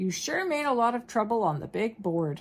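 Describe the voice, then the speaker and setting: In a put-on character voice, a woman speaks at a fairly high pitch with very wide pitch swings. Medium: read story.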